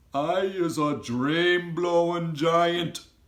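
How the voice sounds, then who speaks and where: This man uses a put-on character voice pitched high. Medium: read story. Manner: ungrammatical, gentle, whimsical.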